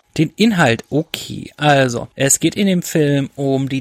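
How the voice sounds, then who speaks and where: This is a normal speaking voice with ordinary pitch variation. The sound is dry and close, with no echo. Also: man. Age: 20s. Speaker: film critic. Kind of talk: casual chat.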